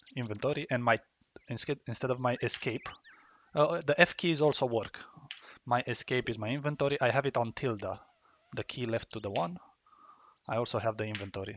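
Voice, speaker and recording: The speaker has a non-native accent, a fairly quick pace, and ordinary pitch variation, broken by long, frequent pauses. The sound is dry and close with no echo, over a quiet background. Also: man, medium pitch for a man. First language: not English. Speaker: gaming YouTuber. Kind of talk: tutorial. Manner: halting, with many fillers and restarts.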